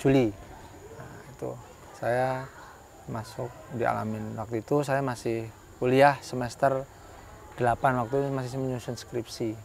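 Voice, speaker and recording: Over light background noise, a man with a Javanese accent speaks at a medium pitch in a relaxed tone, his intonation monotone and flat, his loudness swinging widely, with long, frequent pauses. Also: fairly slow pace, dry sound with no echo. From Central Kalimantan, Javanese family. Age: 30s. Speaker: school principal. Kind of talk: interview. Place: garden.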